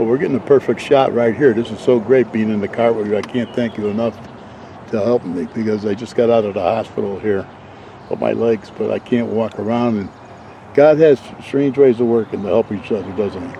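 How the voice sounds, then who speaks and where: At a fairly quick pace, a man with an American accent speaks at a medium pitch with fairly even intonation over noticeable background noise. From Waterbury, Connecticut. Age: 80s+. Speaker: local documentary maker. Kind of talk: casual interview. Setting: outdoors in a golf cart. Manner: quiet.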